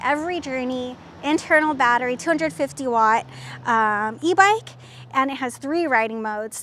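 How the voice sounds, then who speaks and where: A woman's high-pitched voice with lively intonation, a fairly slow pace, a dry sound with no echo and light background noise. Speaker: presenter. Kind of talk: tutorial. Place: street. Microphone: lapel.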